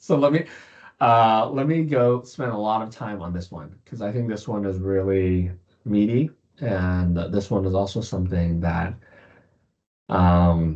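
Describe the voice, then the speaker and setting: This man has a plain, everyday voice with fairly low pitch. He speaks at a fairly slow pace with lively intonation. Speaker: startup founder and investor giving a keynote. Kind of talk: keynote presentation with slides. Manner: many filler words and self-corrections.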